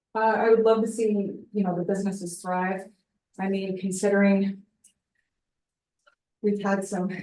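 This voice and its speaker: A woman's medium-pitched voice with an American accent, a dark, mellow tone and monotone, flat intonation, at a moderate pace with long, frequent pauses and audible room echo. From Alsea area, Oregon. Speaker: community council candidate. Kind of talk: self-introduction at public meeting. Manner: halting, many fillers.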